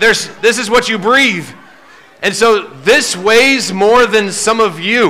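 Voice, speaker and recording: A man speaks in a raised, projected voice at a fairly slow pace, with ordinary pitch variation. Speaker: presenter. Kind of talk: lively talk to children. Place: stage.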